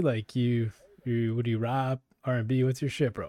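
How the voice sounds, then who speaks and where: A man speaks at a medium pitch and moderate pace with a dark, mellow tone. The sound is dry and close, with no echo. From Canada, Toronto. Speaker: podcast host. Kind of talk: casual chat.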